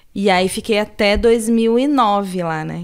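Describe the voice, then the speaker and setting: A woman with a São Paulo accent speaks with lively intonation. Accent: Paulistano Brazilian Portuguese. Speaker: podcast host. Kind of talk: casual chat.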